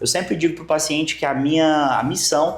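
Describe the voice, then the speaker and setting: Music plays in the background as a man with a slight Maranhão accent speaks at a fairly high pitch. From Brazil, Maranhão. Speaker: nutrition doctor. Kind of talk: interview.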